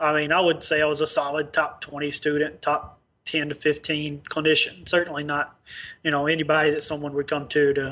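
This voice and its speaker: A man with an Arkansas accent speaks in a monotone, flat intonation, his fairly high pitch carrying a bright, sharp tone. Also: fairly quick pace. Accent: Southern US (Arkansas). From Northeast Arkansas, US South. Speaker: dentist, practice owner. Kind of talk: interview.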